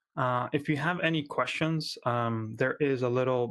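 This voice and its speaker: Speaking at a fairly slow pace, a man with medium pitch has a slight Argentine accent. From Argentina. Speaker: software company founder giving a conference talk. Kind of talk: conference talk. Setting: remote conference. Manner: frequent filler words and hesitations.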